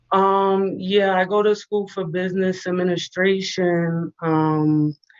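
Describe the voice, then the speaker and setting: Very slowly and in a flat monotone, a woman speaks with a New York accent. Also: medium pitch for a woman. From New York City, the Bronx. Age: 20s. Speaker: caller, business student. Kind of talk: call-in conversation. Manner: hesitant, filler-heavy.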